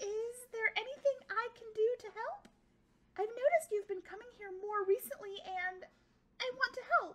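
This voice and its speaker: Putting on a character voice, a woman sounds squeaky and nervous at an extremely high pitch, moving at a moderate pace. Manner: eager to help.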